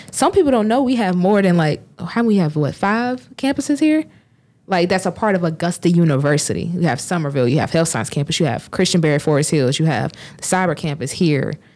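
A woman with a Southern US accent talks at a fairly quick pace, her fairly low voice swinging very widely in pitch. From US South, south Georgia. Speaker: student commencement speaker. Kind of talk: casual chat.

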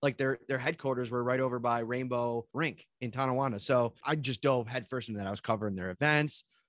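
Recorded very cleanly against a silent background, with a dry, close sound and no echo, a man speaks at a medium pitch in a western New York accent. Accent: western New York (Inland North). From Buffalo, western New York. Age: 30s. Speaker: sports beat reporter. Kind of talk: casual interview chat. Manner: casual, filler-heavy.

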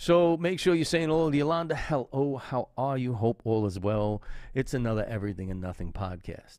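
An animated man with a New York accent, medium in pitch, with very wide pitch swings and a fairly quick pace, in a very clean recording with a silent background. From Brooklyn, New York. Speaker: podcast host and chef. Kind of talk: casual livestream monologue.

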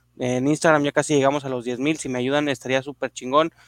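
A man speaks at a fairly quick pace in a monotone, flat intonation. The sound is dry and close with no echo, in a very clean recording with a silent background. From Mexico, Monterrey area. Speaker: podcast co-host. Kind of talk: scripted narration.

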